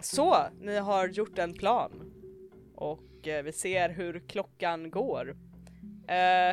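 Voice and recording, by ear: Reading aloud in a natural voice, the intonation fairly level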